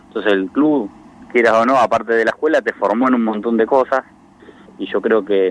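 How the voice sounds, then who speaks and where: A man's unremarkable speaking voice, fairly low in pitch and fairly quick, in a dry, close sound with no echo. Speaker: sports club president. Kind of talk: radio interview.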